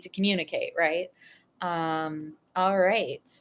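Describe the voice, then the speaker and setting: In a plain, everyday voice, a woman with an American accent speaks at a fairly slow pace and a medium pitch. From New England, US. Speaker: political psychology youtuber. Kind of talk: live stream Q&A. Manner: casual, many fillers.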